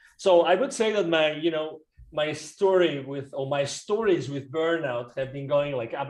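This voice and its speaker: A man with a Spanish accent speaks at a fairly high pitch with ordinary pitch variation. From Spain. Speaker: business coach. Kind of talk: podcast interview. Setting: remote call.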